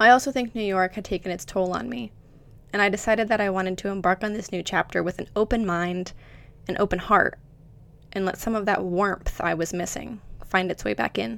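A normal speaking voice comes through with an American accent. The delivery is fairly quick, with ordinary pitch variation. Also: woman, medium pitch for a woman. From Florida, US. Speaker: professional dancer and podcast host. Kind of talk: scripted monologue.

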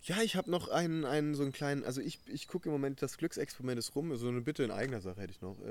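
A man speaks very fast with hardly any pauses. His fairly high voice has lively intonation. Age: 20s. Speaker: mental coach and leadership trainer. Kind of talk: casual interview. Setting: outdoors in a garden.

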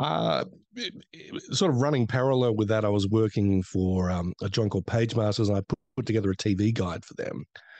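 The speaker has an Australian accent and talks at a fairly quick pace with ordinary pitch variation, in a dry, close sound with no echo and a quiet background. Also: man, fairly low pitch for a man. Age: 50s. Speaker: film critic and podcaster. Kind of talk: casual chat.

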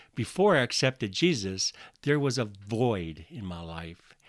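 A man with a plain, everyday voice and an American accent, lively intonation, a fairly slow pace, and a very clean recording with a silent background. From US Midwest, northwest Iowa. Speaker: podcast preacher. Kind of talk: sermon.

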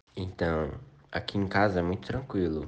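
Audible room echo fills the space. The voice belongs to a man. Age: 20s. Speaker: university student. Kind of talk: recorded testimony. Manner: casual.

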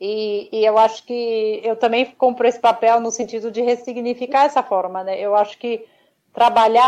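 Against a quiet background, a woman with a plain, everyday voice speaks fairly slowly at a fairly high pitch with fairly even intonation. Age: 40s. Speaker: model and albinism advocate. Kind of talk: interview.

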